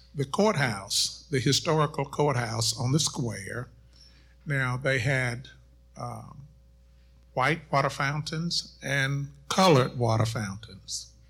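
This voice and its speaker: Vocal fry and an American accent at a very slow pace, with ordinary pitch variation and long, frequent pauses. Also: man. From Middle Tennessee, US South (College Grove). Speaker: pastor. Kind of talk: panel discussion.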